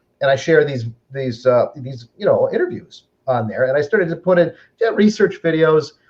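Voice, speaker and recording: A somewhat breathy voice with an American accent speaks at a moderate pace with lively intonation. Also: man. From Upper Michigan. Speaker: online group administrator and host. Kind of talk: interview. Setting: home kitchen, live stream.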